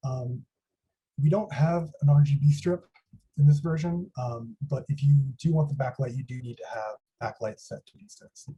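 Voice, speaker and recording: Quiet and somewhat breathy, a man with a dark, mellow tone and fairly high pitch talks at a moderate pace, with ordinary pitch variation and big swings in loudness. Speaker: student workshop instructor. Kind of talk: tutorial. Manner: a little quiet. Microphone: quiet microphone.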